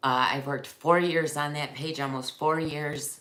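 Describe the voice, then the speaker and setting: In a room with audible echo, a woman speaks fairly slowly with a very deep, low pitch. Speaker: wreath maker and small business owner. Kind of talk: casual livestream chat.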